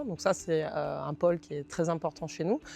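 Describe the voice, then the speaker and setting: A fairly quick delivery in a southern French accent. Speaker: consulting firm representative. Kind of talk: company presentation.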